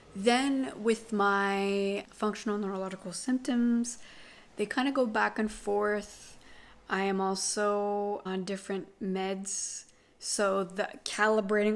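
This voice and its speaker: A woman talks in an ordinary speaking voice. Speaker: vlogger sharing chronic illness update. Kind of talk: casual vlog monologue.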